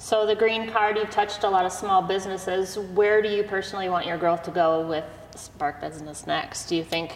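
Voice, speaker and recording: Over noticeable background noise, a woman with a medium pitch speaks at a fairly quick pace with fairly even intonation. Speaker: podcast host. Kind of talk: casual interview chat.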